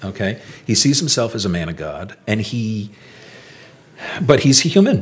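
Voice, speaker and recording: Against noticeable background noise, a man speaks at a moderate pace and medium pitch with lively intonation. His loudness swings widely, and long, frequent pauses break up his speech. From Rhode Island. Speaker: historical reenactor and historian. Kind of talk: interview storytelling.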